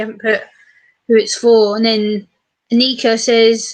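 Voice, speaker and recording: A woman speaks with an English accent at a fairly high pitch. Her pace is moderate. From England. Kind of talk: casual chat. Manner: animated.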